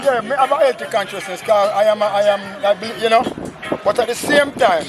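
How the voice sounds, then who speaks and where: With music in the background, a man with a Jamaican accent talks at a very fast pace and a high pitch, using ordinary pitch variation. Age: 60s. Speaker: skateboarder. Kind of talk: interview answer. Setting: outdoors.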